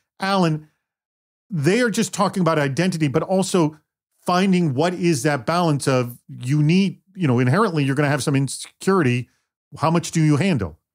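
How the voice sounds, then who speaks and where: A man with a normal speaking voice talks at a fairly quick pace and fairly high pitch, with ordinary pitch variation and very even loudness on a very clean recording with a silent background. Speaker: podcast host and producer. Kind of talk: podcast panel discussion.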